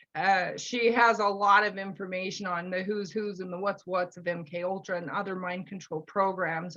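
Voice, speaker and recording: A woman's medium-pitched, fairly even delivery in an ordinary speaking voice, against a quiet background. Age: 60s. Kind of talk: interview.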